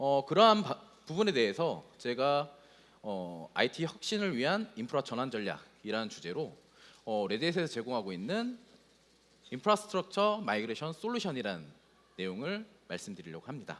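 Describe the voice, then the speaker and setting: Very wide pitch swings from a man with a fairly high voice, moving at a moderate pace. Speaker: solutions architect presenting at a tech conference. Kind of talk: conference presentation.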